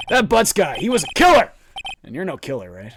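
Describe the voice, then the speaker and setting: Putting on a gruff, high-pitched character voice, a man talks at a fairly quick pace with big swings in loudness. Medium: game stream. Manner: gruff, loud, says "pal".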